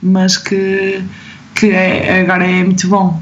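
A woman's very slow speech amid noticeable background noise and audible room echo. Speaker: medical resident and gymnastics choreographer. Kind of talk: casual interview.

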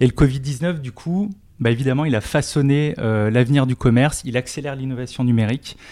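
A man at a fairly quick pace with a medium pitch, a dark, mellow tone and ordinary pitch variation, in a very clean recording with a silent background. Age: 40s. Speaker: tech company industry director. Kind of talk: interview.

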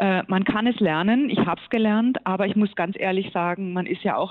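A woman talks at a moderate pace and a medium pitch. Her intonation stays fairly even. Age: 50s. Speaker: gynecologist and professor. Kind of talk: interview. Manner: hesitant with many fillers.

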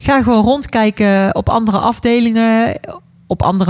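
Recorded with a dry, close sound and no echo, a woman with a Brabant accent talks at a moderate pace, her fairly high pitch carried in fairly even intonation. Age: 40s. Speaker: care worker. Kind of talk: casual chat.

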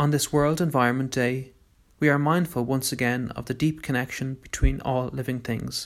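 Here is an ordinary speaking voice from a man at medium pitch. He keeps a moderate pace and fairly even intonation. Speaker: meditation guide. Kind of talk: guided meditation. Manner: gentle, calm.

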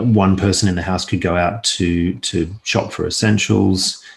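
This man has a very deep, low pitch and an Australian accent, speaking at a fairly slow pace with fairly even intonation. The recording is very clean, with a silent background. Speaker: investment analyst. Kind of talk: casual interview.

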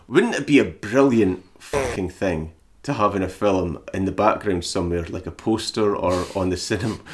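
The pace is moderate, and pitch variation is ordinary. It is a plain, everyday voice. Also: man, fairly low pitch for a man. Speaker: podcast host. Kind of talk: casual banter, film discussion. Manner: joking, laughs a lot, profane.

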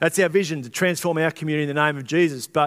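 A fairly high-pitched man with an Australian accent and ordinary pitch variation. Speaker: pastor. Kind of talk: sermon. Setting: church. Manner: loud.

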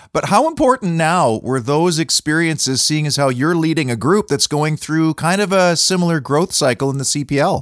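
In a very clean recording with a silent background and a dry, close sound with no echo, an ordinary speaking voice with a Canadian accent moves at a moderate pace with ordinary pitch variation and hardly any pauses. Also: man, fairly high pitch for a man. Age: 50s. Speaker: podcast host. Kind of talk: scripted monologue; interview.

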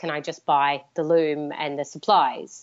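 A woman talks with an Australian accent. Her pitch is very deep and low, and her intonation is monotone and flat. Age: 30s. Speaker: fiber artist. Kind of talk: interview.

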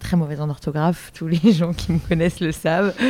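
A woman speaks at a very deep, low pitch with fairly even intonation. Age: 20s. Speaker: visual artist. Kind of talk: interview. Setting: at her home. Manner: hesitant, many fillers.

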